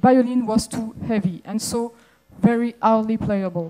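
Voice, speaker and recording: A woman with a French accent speaks fairly slowly and at a fairly high pitch. Her tone is dark and mellow, her intonation fairly even. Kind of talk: conference talk.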